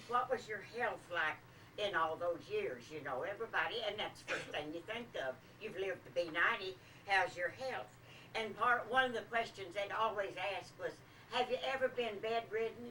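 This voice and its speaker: Lively intonation marks this woman's speech, heard against noticeable background noise. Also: medium pitch for a woman, moderate pace. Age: 80s+. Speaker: birthday celebrant. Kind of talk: after-dinner speech. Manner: halting.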